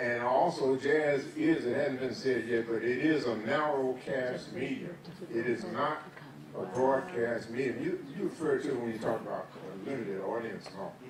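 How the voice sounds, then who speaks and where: Noticeable background noise and audible room echo around a man's voice of ordinary pitch variation. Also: medium pitch for a man, moderate pace. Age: 70s. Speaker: jazz musician and self-producer. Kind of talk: panel discussion.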